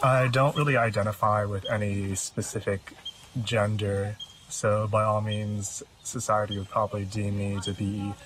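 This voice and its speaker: Against noticeable background noise, a man talks at a fairly slow pace and fairly low pitch, his intonation monotone and flat. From US. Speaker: musician. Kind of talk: documentary interview.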